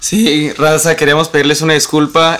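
A man with a Mexican accent talks at a moderate pace. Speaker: podcast co-host. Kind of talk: scripted outro; casual chat.

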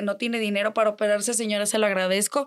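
A woman speaks at a very fast pace in an animated tone. Her pitch is fairly high. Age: 20s. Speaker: influencer. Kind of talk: casual chat.

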